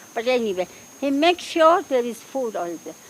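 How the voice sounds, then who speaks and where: A woman speaks over noticeable background noise. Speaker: support group co-founder. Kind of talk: speech at public event.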